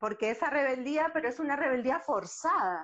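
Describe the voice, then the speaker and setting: Her voice is high, and she moves through very wide pitch swings. This woman speaks at a fairly slow pace. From Uruguay. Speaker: acupuncturist. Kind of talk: casual interview chat. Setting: Instagram live video call. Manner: hesitant, with frequent repetitions.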